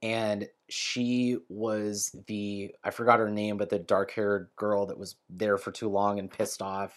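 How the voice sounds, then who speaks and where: This man speaks with an American accent. His voice is medium in pitch. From US West Coast, San Francisco Bay Area. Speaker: chef. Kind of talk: casual chat.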